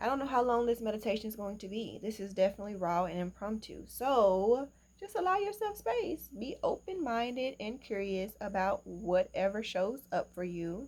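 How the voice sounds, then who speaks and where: In a normal speaking voice, a woman with a fairly high pitch and ordinary pitch variation talks with hardly any pauses. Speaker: meditation guide. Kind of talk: guided meditation. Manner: slow, calm.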